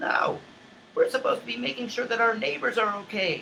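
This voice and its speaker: A man with an American accent speaks at an extremely high pitch in a raised, projected voice. His pace is fairly quick. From US South, Charleston, South Carolina. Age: 50s. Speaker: online talk show host. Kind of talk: impassioned monologue. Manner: repetitive, halting restarts.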